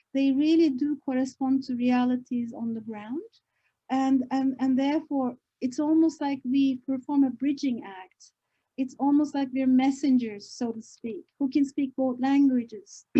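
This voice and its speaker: A woman's high-pitched voice with a dark, mellow tone, fairly even intonation and a fairly slow pace. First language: not English. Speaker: professor. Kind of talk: book launch talk. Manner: halting, many fillers.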